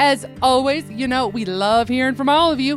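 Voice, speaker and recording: Music plays in the background as a woman with a fairly high pitch talks at a moderate pace. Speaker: radio show host. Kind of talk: show intro.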